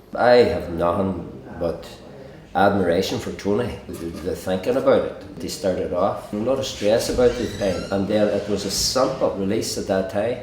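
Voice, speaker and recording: With a Derry accent, a man speaks at a moderate pace with ordinary pitch variation, amid noticeable background noise and audible room echo. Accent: Northern Irish (Derry). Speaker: pub owner. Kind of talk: interview testimony. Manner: halting, repeats words.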